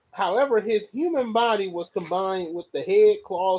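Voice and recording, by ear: A natural voice reading aloud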